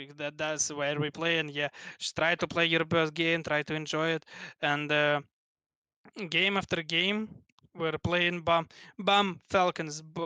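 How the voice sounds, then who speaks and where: A man's fairly high, bright, sharp voice in a Russian accent, monotone and flat, at a fairly slow pace with long, frequent pauses, dry and close with no echo against a quiet background. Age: 20s. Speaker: esports player. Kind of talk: interview. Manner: halting.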